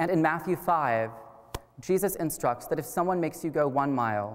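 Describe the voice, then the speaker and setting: A man's fairly high voice with a Midwestern American accent, lively intonation and a moderate pace. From US Midwest, Wichita, Kansas. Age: 20s. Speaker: college student speaker. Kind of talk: public lecture. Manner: formal.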